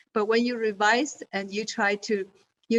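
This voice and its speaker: Recorded with a dry, close sound and no echo, a woman speaks at a fairly slow pace with fairly even intonation. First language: not English. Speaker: journal associate editor. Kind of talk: webinar presentation. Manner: halting, many fillers.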